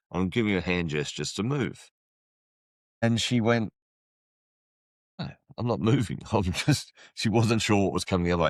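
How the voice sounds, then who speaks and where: A man with an Australian accent, fairly low in pitch, with lively intonation, a moderate pace and long, frequent pauses. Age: 60s. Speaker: podcast host and rideshare driver. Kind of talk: casual chat.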